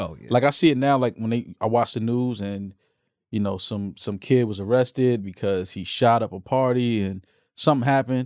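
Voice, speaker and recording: A man speaks at a moderate pace in a plain, everyday voice, his pitch medium with ordinary variation. The sound is dry and close with no echo, and the recording is very clean over a silent background. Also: big swings in loudness. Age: 40s. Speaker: podcast host. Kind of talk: casual chat.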